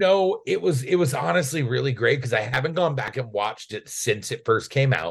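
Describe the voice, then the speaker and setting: A man talks at a fairly quick pace with a medium pitch. His voice has vocal fry and very wide pitch swings. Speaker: comedian guest. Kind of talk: casual chat, comedy podcast interview.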